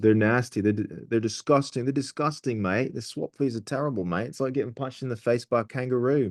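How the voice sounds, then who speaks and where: Talking at a very fast pace, a man has an Australian accent and a medium pitch. His pitch varies in an ordinary way against a quiet background. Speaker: forex trader and channel host. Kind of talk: casual interview over trading charts. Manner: animated.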